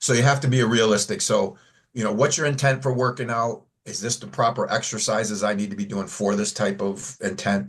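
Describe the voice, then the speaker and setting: Fairly quick, somewhat breathy speech from a man, medium in pitch with ordinary pitch variation. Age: 60s. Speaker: fitness coach. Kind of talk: casual chat.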